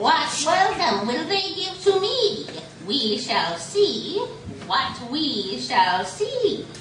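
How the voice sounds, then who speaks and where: A high, female-sounding put-on character voice at a very slow pace, with clear background noise and a slight echo. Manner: rhyming incantations.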